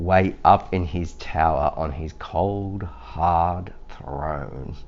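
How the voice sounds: A man speaks at a very slow pace, his pitch low. The pitch varies in an ordinary way.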